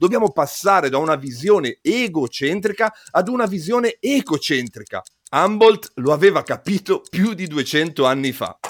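A man speaks at a moderate pace in a high pitch with very wide pitch swings, the sound dry and close with no echo. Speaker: podcast host and physicist. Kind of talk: scripted narration.

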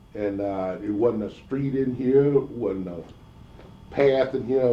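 Amid audible room echo, a man talks at a very slow pace with ordinary pitch variation. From US South, Georgia, moved to Florida as a child. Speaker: oral history interviewee. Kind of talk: oral history interview. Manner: halting.

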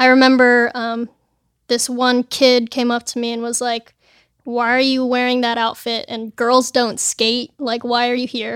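A woman with a Californian accent speaks at a high pitch in a flat, monotone intonation, at a fairly slow pace. The recording is very clean with a silent background, and the sound is dry and close with no echo. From Los Angeles, California. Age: 20s. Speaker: pro skateboarder. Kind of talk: casual chat. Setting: studio.

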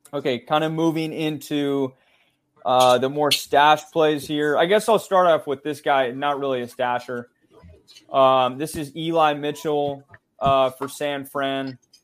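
The man has an ordinary speaking voice pitched fairly high. He talks at a fairly slow pace with fairly even intonation. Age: 20s. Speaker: sports podcast co-host, fantasy football analyst. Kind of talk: casual chat.

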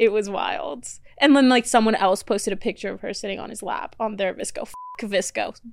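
Against noticeable background noise, a woman talks at a fairly quick pace in a fairly high voice, her loudness swinging widely. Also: ordinary pitch variation. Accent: American. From Florida, US. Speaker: reality TV personality and podcaster. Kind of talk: casual chat.

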